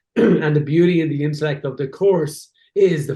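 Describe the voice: A man talks at a moderate pace in a hoarse, put-on character voice, pitched fairly high with fairly even intonation.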